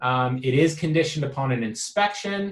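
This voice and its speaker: A man has a somewhat breathy voice of medium pitch. His pitch varies in an ordinary way. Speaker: real estate agent. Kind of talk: explanatory video message to clients. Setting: office. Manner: many fillers (um, uh).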